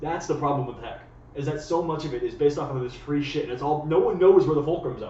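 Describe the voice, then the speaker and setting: Through audible room echo and noticeable background noise, a man with a Canadian accent speaks at a very fast pace in a monotone, flat intonation, his pitch fairly high. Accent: sounds Canadian. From United States. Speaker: friend of the host. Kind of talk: casual chat. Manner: fast, stammering with repeated words.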